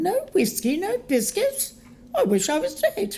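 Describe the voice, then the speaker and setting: A female-sounding voice does a high-pitched put-on character at a fairly slow pace. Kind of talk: audio drama.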